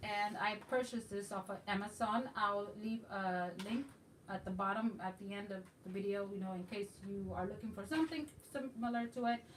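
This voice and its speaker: Ordinary pitch variation marks a woman's medium-pitched voice. Her pace is moderate. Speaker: craft YouTuber. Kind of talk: craft tutorial. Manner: casual, hesitant with fillers.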